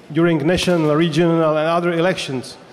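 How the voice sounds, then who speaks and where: A man with a high-pitched voice speaks at a fairly slow pace. Noticeable background noise runs underneath. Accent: Czech. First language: Czech. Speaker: politician. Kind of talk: panel discussion.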